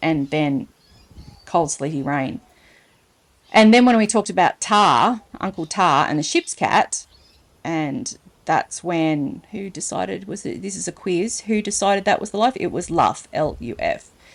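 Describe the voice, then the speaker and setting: Speaking with an Australian accent, a woman with a medium pitch uses a playful tone and lively intonation at a fairly slow pace. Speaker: storyteller, reader. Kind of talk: children's story reading with casual asides. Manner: chatty, playful.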